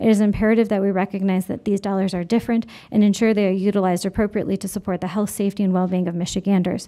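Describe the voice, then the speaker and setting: A woman speaks very fast in a monotone, flat intonation, her medium-pitched voice dark and mellow in tone. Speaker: state commission official presenting to legislators. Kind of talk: legislative committee testimony.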